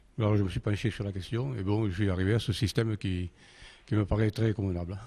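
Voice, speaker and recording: A man talks at a very fast pace with fairly low pitch. His voice is somewhat breathy, with a dark, mellow tone and fairly even intonation. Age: 70s. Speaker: inventor and engineer. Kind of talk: interview. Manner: halting.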